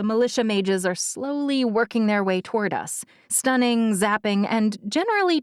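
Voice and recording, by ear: A passage is being read aloud in a natural voice.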